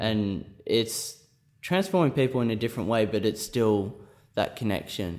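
Lively intonation colors a man's medium-pitched voice. He keeps a moderate pace. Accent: Australian. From rural New South Wales, Australia. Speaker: percussion student. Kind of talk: interview.

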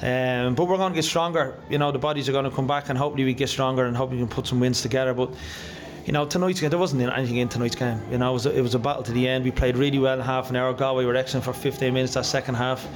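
Very fast speech from a man at medium pitch comes through noticeable background noise. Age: 40s. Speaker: football manager. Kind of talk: post-match interview.

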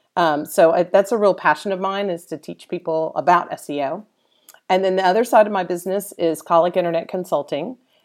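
A woman with an ordinary speaking voice talks at a fairly quick pace, her fairly low pitch showing ordinary pitch variation. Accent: American. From Dallas, Texas. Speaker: SEO instructor and consultant. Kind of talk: interview. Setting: live event with audience.

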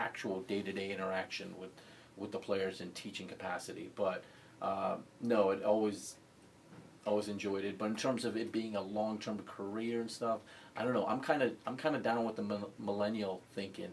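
A normal speaking voice moves at a moderate pace with ordinary pitch variation. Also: man, fairly low pitch for a man. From US (moved from Libya and Pakistan at age 12). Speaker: college basketball coach. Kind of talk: interview.

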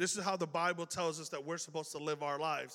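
In a very clean recording with a silent background, a man speaks very fast with an American accent. His voice is high-pitched with a bright, sharp tone and fairly even intonation. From Chicago. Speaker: youth pastor. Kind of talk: sermon. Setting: church. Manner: casual, conversational.

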